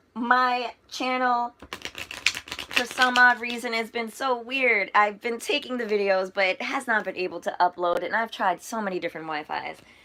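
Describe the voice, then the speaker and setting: Over noticeable background noise, a woman talks in an animated tone at a moderate pace, her fairly high pitch showing ordinary variation. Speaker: tarot reader. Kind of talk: live tarot and astrology reading to viewers. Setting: livestream. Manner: stuttering and stammering; animated, chatty.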